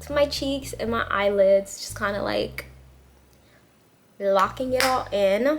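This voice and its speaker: Fairly high in pitch, a woman speaks at a moderate pace with ordinary pitch variation over noticeable background noise. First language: not English. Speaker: beauty vlogger. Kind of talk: tutorial. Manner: casual, chatty.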